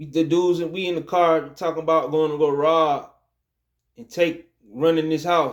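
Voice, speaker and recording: A man speaks at a fairly high pitch and a moderate pace in a monotone, flat intonation, though his loudness swings widely. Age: 30s. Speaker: Hebrew Israelite religious video speaker. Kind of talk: religious monologue / exhortation. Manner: casual, repetitive with many fillers and restarts.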